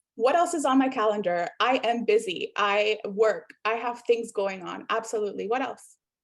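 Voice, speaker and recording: A woman with a Spanish accent talks at a moderate pace and fairly high pitch, with ordinary pitch variation and hardly any pauses. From South America. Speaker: workshop facilitator, professor. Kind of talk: interactive workshop presentation.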